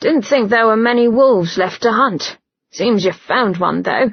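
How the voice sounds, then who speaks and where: A woman uses a put-on character voice that is raspy and fairly high in pitch. Her pace is moderate. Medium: read story. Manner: blunt, clipped.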